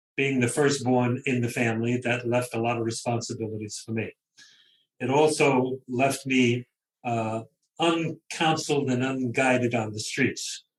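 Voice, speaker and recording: A man with a Brooklyn accent speaks at a moderate pace and medium pitch, somewhat breathy and with fairly even intonation. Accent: New York (Brooklyn). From Brooklyn, New York. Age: 70s. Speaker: novelist. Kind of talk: interview. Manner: conversational.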